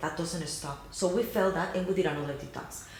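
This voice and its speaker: A woman speaks with a Cuban accent against noticeable background noise and audible room echo. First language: Spanish. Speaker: YouTube channel co-host. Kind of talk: casual chat.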